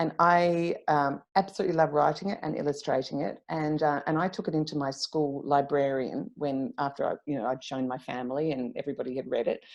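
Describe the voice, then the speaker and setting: A woman's very deep, low voice in a strong Australian accent, with hardly any pauses. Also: ordinary pitch variation, fairly quick pace. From South Australia, Clare Valley. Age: 50s. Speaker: author. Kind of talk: interview. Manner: hesitant, many fillers.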